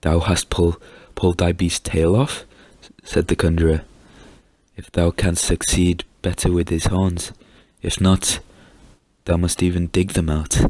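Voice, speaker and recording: A soft-spoken man with a very deep, low pitch, calm tone and monotone, flat intonation, at a fairly slow pace with long, frequent pauses. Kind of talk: story reading, soft-spoken ASMR-style storytime. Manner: soft-spoken, calm.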